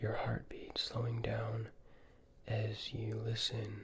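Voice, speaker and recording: A man whispering, soft-spoken, at a very slow pace. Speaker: ASMR creator. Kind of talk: ASMR roleplay questions. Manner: soft-spoken or whispering.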